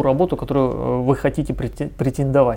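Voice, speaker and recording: With a fairly high voice, the man talks at a moderate pace. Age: 30s. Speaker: recruiting agency director. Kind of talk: tutorial. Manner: halting, frequent filler sounds.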